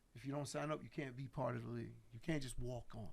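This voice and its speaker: Very fast speech comes from a man with an American accent. His pitch is medium, with ordinary variation. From New York (Queens). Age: 50s. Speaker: hip-hop label executive. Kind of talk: casual chat.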